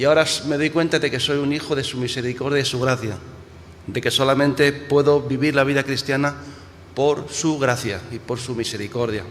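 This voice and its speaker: Fairly even intonation and a moderate pace come through noticeable background noise. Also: man, fairly high pitch for a man. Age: 60s. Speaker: pastor. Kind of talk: sermon. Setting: church. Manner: halting, with frequent repetitions and restarts.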